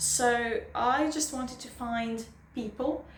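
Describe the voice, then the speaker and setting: A woman with a non-native accent and fairly high pitch, ordinary pitch variation, audible room echo and noticeable background noise. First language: not English. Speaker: booktuber. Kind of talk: casual vlog monologue. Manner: halting.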